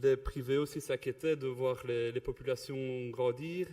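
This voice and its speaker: Speaking at a moderate pace, a man with a Belgian accent keeps a medium pitch. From Belgium (Wallonia, Ardennes). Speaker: river contract project coordinator. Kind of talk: conference presentation. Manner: halting, many fillers and repetitions.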